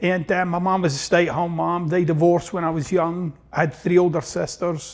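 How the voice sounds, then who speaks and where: This man speaks in a Glaswegian accent at a fairly quick pace. His voice is high, with monotone, flat intonation. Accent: Glaswegian Scottish. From Scotland, East End of Glasgow. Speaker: self-help author. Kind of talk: interview.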